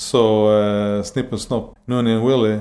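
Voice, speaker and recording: A man's medium-pitched voice, dark and mellow in tone, monotone and flat in intonation, at a fairly slow pace. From Sweden. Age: 40s. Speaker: cartoonist and author. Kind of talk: casual chat.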